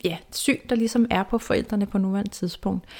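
In a very clean recording with a silent background, a woman talks at a medium pitch. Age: 30s. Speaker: self-esteem mentor and podcast host. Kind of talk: personal storytelling monologue. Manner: halting, many fillers and repetitions.

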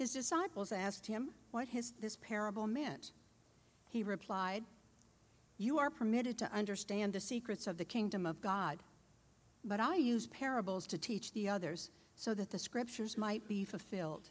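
A woman with a plain, everyday voice talks at a moderate pace with ordinary pitch variation. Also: fairly high pitch for a woman. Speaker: scripture reader. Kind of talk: reading aloud.

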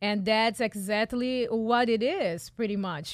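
A woman with a Portuguese accent, fairly high in pitch, very slow in pace, with ordinary pitch variation. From Brazil, São Paulo. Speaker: pilot and marketing expert. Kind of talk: radio interview. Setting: radio studio.

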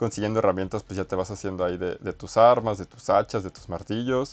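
The speaker has a Mexican accent and ordinary pitch variation. The pace is fairly quick. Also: man. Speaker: podcast host. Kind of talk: casual chat. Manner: halting.

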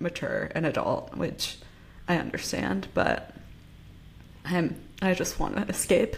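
With ordinary pitch variation, a woman's voice shows vocal fry. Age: 20s. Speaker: podcast co-host. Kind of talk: casual chat.

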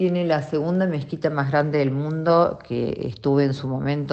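A woman's very deep, low voice with a Rioplatense accent, at a fairly slow pace with fairly even intonation. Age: 50s. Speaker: radio host. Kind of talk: casual chat.

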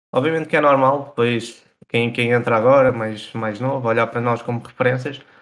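A man talks fairly quickly. He has a normal speaking voice pitched in the medium range. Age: 20s. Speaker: professional esports player. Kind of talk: casual chat. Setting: livestreamed podcast.

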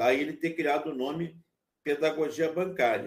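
A man speaks with a high-pitched voice. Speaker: university lecturer. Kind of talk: lecture. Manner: halting.

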